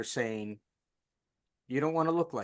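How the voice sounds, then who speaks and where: Against a quiet background, a man with an ordinary speaking voice talks at a fairly quick pace. His pitch is fairly high. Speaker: podcast host. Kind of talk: interview host talk.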